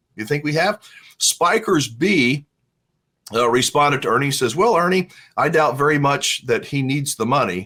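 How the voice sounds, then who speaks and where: Bright and sharp in tone, the voice moves at a moderate pace with lively intonation in a very clean recording with a silent background. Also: man, fairly high pitch for a man. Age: 60s. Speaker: RV vlogger. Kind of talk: casual commentary reading viewer comments. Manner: conversational.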